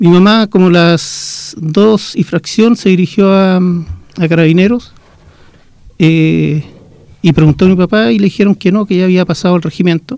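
Speaking at a moderate pace, a man with a high pitch and a dark, mellow tone shows ordinary pitch variation. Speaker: former student leader, son of a victim of the dictatorship. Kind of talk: testimony.

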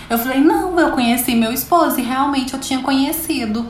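A woman speaks in a high voice. The recording has noticeable background noise and audible room echo. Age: 30s. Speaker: manicure and podcast host. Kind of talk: casual interview chat.

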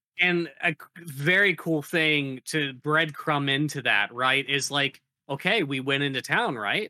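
A man talks at a fairly slow pace in a fairly high pitch. He has a plain, everyday voice. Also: ordinary pitch variation. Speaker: tabletop game player. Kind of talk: casual chat.

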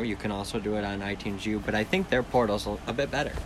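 A man speaks in a fairly low voice with fairly even intonation. Noticeable background noise and audible room echo are present. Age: 30s. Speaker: podcast host. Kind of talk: casual solo talk. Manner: rambling, halting.

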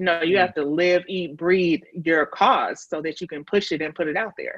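At a moderate pace, a woman talks in an unremarkable speaking voice. Her pitch is fairly low with ordinary variation. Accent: American. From Chicago. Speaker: grant writer and fundraising consultant. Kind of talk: casual interview.

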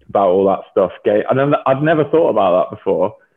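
This man has an English accent. He talks at a fairly quick pace. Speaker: professional rugby player. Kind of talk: casual chat. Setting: video call.

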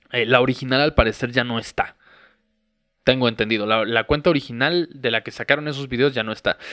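A man with a Mexican accent speaks at a medium pitch and a fairly quick pace, with ordinary pitch variation. The sound is dry and close with no echo, and music plays in the background. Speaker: podcast host. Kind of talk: casual monologue.

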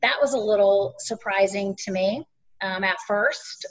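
A woman speaks in an ordinary speaking voice with an American accent. Her pitch is medium and her intonation fairly even. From North Carolina, US South. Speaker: army veteran and business owner. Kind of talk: interview.

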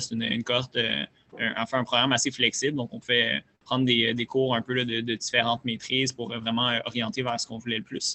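A man at a fairly quick pace, flat and monotone in intonation. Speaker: startup founder. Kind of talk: interview.

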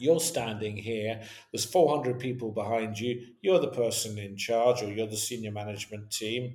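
A man speaks at medium pitch with ordinary pitch variation and big swings in loudness. Room echo is audible. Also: moderate pace. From west coast of Scotland. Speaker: business continuity consultant. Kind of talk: interview.

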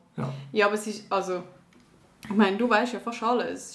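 A woman talks with fairly even intonation in a room with audible echo and noticeable background noise. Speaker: podcast co-host, actress. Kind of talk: casual game-show chat.

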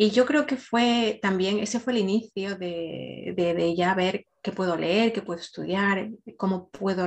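A woman speaks at a fairly slow pace with a medium pitch. It is an ordinary speaking voice. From Ecuador. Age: 40s. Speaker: emotional wellbeing coach. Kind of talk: podcast interview, personal story.

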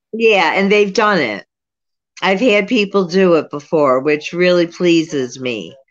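A woman with a plain, everyday voice speaks at a fairly slow pace in a fairly low pitch. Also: lively intonation. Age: 60s. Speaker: psychic medium, former social worker. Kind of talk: casual interview.

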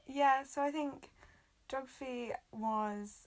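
A woman talks very slowly. She speaks with a North Welsh accent. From North Wales. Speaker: human geography graduate. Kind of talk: casual chat. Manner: hesitant, many fillers.

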